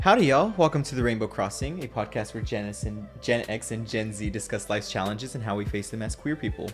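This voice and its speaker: Over music in the background, the speaker races along very fast with lively intonation and hardly any pauses. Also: man, fairly low pitch for a man. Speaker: podcast host. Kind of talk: podcast intro.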